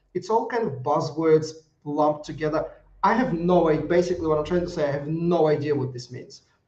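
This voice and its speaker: Talking at a fairly quick pace, a man with a non-native accent has a fairly high pitch and ordinary pitch variation. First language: not English. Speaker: risk management consultant. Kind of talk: live video review. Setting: live broadcast. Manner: halting, many fillers and restarts.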